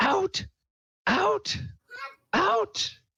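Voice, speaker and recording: This put-on character voice is shrill and squeaky, pitched extremely high. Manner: shrieking.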